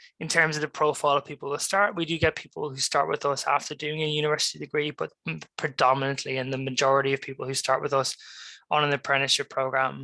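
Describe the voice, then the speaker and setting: In an Irish accent, a man talks at a fairly quick pace in a fairly high, bright, sharp voice. His intonation is monotone and flat, and the sound is dry and close with no echo. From Ireland. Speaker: graduate recruitment professional. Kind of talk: careers talk presentation.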